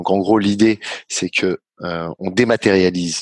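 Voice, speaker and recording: The recording is very clean with a silent background, the sound dry and close with no echo, and the speech moves at a fairly slow pace. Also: man. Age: 30s. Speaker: startup founder and executive. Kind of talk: interview.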